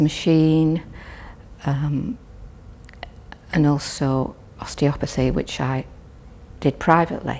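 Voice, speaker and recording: Her pitch very deep and low with ordinary variation, a woman speaks at a very slow pace. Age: 70s. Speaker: patient. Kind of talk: testimony. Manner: halting.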